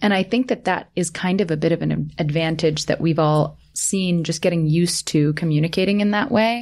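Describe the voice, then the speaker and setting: A woman talks in a normal speaking voice at a fairly low pitch, going at a fairly quick pace with ordinary pitch variation. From Canada. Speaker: podcast host, marketing executive. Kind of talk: scripted narration; casual chat.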